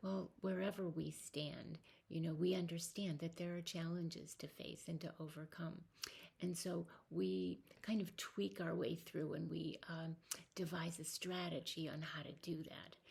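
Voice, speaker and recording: Soft-spoken and with vocal fry, a woman speaks at a fairly slow pace, her fairly low pitch held in fairly even intonation. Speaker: spiritual vlogger. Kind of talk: personal reflective monologue. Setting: home at night. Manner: hesitant, many fillers. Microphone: volume turned up a lot, may be quiet.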